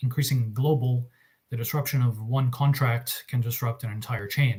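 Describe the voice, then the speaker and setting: Somewhat breathy, a man's medium-pitched voice carries fairly even intonation. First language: Russian. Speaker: arbitration lawyer. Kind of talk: panel presentation. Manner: hesitant, many fillers.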